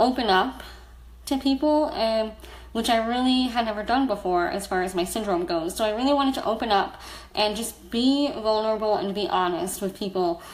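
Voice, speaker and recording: Audible room echo surrounds a woman with an American accent, her fairly high pitch showing ordinary variation at a moderate pace. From US, South Florida. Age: 30s. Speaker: blogger and storyteller. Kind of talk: personal testimony on a livestream. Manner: casual, frequent fillers.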